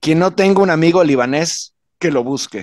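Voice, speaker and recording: Here a man speaks at a moderate pace with fairly high pitch and ordinary pitch variation. The sound is dry with no echo, over a quiet background. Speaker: political commentator. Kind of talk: panel discussion. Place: home room. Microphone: studio mic.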